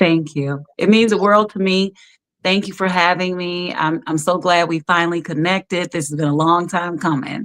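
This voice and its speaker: A woman speaks in a plain, everyday voice at a moderate pace. Her pitch is fairly low and her intonation fairly even. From Chicago. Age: 60s. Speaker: guest. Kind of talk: casual chat.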